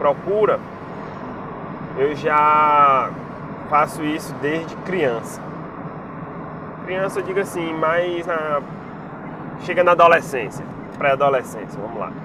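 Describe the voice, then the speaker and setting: Over noticeable background noise, the speaker goes very slowly, with long, frequent pauses and ordinary pitch variation. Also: man, fairly high pitch for a man. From Brazil, Piauí (Teresina). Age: 30s. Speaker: bus enthusiast vlogger. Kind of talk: casual vlog chat. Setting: in a car, driving.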